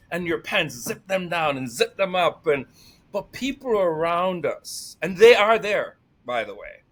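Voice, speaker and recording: A man with a Jamaican accent speaks at a high pitch with lively intonation and big swings in loudness. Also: fairly slow pace. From Jamaica, Saint Mary. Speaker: employment specialist and life coach. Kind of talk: casual interview chat. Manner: energetic.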